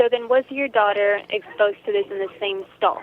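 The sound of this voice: A woman speaks at medium pitch and a moderate pace. Her pitch varies in an ordinary way.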